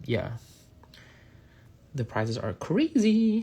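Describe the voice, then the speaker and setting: The speaker is a man. His voice comes across somewhat breathy. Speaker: nail artist and content creator. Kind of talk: live painting tutorial. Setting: livestream. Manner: casual, hesitant with many fillers.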